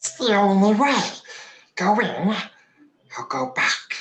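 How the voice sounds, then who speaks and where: A raspy, put-on character voice pitched fairly high moves at a fairly slow pace. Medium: audio drama. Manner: servile, sly.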